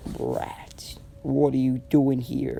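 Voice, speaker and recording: A man whispers and growls in a put-on character voice against clear background noise. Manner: growling, mean.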